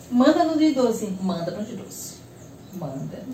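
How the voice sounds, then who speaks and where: A woman speaks at a high pitch with very wide swings in pitch. Audible room echo and noticeable background noise surround her voice. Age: 30s. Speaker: mother of four interviewed on podcast. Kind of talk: casual interview chat. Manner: casual, many fillers.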